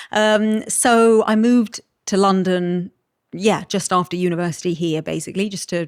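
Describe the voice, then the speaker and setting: A British-accented woman with ordinary pitch variation, on a very clean recording with a silent background and a dry, close sound with no echo. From Malta. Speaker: podcast guest. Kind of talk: casual chat.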